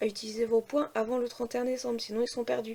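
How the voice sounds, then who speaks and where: Fairly quick speech in a fairly high woman's voice. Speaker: family vlogger. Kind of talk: casual vlog talk. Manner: hesitant, many fillers.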